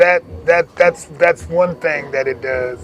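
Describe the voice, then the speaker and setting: Noticeable background noise sits behind a man's high-pitched voice. He speaks at a fairly slow pace. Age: 80s+. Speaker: community elder and youth worker. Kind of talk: interview.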